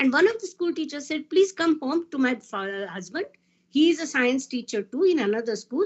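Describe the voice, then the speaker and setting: With a Marathi Indian accent, a woman speaks with very wide pitch swings. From India, Maharashtra. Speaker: physicist. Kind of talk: panel talk.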